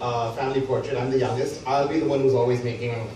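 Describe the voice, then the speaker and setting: Speaking at a very fast pace with an American accent, a man's medium-pitched voice comes through noticeable background noise and audible room echo. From Canada, Montreal. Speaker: stage actor and theatre director. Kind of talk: live interview conversation. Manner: hesitant, many fillers and repeats.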